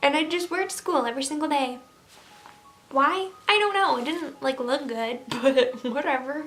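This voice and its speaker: With noticeable background noise behind her, a woman talks at a fairly quick pace in a high voice with ordinary pitch variation. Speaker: YouTuber. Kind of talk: Q and A vlog. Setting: home, window open. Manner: casual, filler-heavy.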